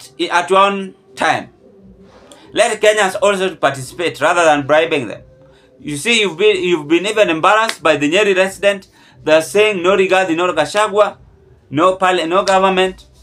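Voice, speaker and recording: This man's voice is high in pitch with ordinary variation. His pace is fairly slow. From Kenya. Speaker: political commentary vlogger. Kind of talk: political commentary monologue. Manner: animated. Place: home room. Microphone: phone near.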